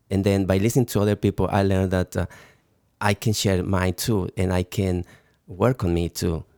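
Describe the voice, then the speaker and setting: A man with a Mexican accent and a very deep, low pitch, dark and mellow in tone, at a moderate pace with fairly even intonation and very even loudness, on a very clean, dry, close recording with no echo and a silent background. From Mexico. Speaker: recovery ministry member. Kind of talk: testimony. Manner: halting.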